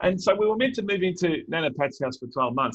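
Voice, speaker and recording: Using an Australian accent, a man speaks at a very fast pace with lively intonation in a dry, close sound with no echo. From Melbourne northern suburbs, Australia. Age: 40s. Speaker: keynote speaker. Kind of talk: keynote talk. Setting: virtual event. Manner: conversational.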